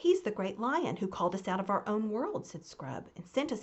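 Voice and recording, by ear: The speaker is reading aloud in a natural voice.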